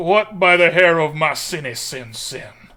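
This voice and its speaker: A put-on character voice from a man, high-pitched and at a moderate speed. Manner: fiery preaching cadence.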